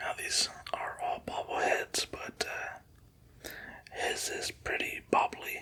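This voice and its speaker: Whispering at a very slow pace, a man speaks amid noticeable background noise. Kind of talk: ASMR collection showcase. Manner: whispering, relaxing.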